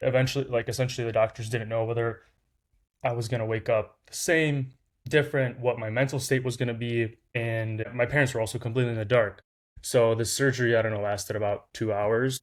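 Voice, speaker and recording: A man talks at a fairly quick pace and medium pitch, with fairly even intonation. The recording is very clean, with a silent background. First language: Lithuanian. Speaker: startup founder. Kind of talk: interview storytelling. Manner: casual, many fillers.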